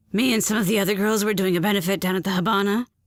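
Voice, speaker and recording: A woman's put-on character voice, raspy and shrill at a medium pitch. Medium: audio drama. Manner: flamboyant, gossipy.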